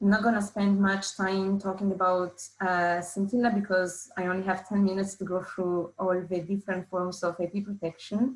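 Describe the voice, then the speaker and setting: In an Italian accent, a woman talks at a moderate pace with hardly any pauses, a somewhat breathy medium-pitched voice and monotone, flat intonation. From Italy. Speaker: patent scientist. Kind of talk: webinar presentation. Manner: hesitant, with fillers.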